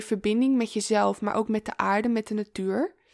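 A woman talks fairly slowly, and the recording is very clean with a silent background. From Amsterdam, Netherlands. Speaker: feminine embodiment coach. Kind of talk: interview conversation. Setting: in person.

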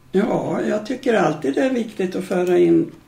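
Moderately paced speech from a woman, with noticeable background noise. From Sweden, Medelpad (central Norrland inland). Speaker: retired adult education organiser. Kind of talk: interview, life story.

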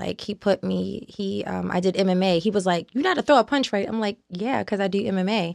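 An ordinary speaking voice: a woman at a medium pitch with an American accent, ordinary pitch variation, a fairly quick pace and hardly any pauses, in a dry, close sound with no echo on a very clean recording with a silent background. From Baltimore, Maryland. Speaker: actress. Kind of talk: casual interview chat. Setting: studio.

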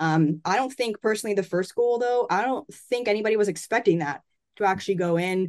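Speaking at a fairly quick pace with a Canadian accent, a woman has a normal speaking voice, a medium pitch and ordinary pitch variation, recorded with a dry, close sound with no echo. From Canada. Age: 20s. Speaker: sports journalist. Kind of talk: casual interview.

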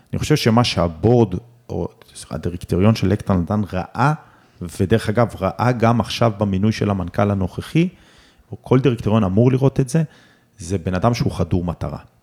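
The man has a normal speaking voice at a fairly low pitch with lively intonation. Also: moderate pace. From southern Israel (Omer). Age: 40s. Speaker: real estate company chairman. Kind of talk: interview.

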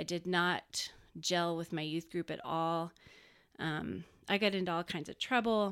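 An ordinary speaking voice with an American accent talks at a fairly slow pace with fairly even intonation. The recording is very clean, with a silent background. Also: woman, fairly low pitch for a woman. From Texas, Dallas-Fort Worth area. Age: 40s. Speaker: graphic designer. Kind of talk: casual chat.

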